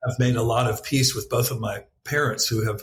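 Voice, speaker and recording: A somewhat breathy man's voice at a moderate pace, with fairly even intonation. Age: 60s. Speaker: author and spiritual teacher. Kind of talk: interview.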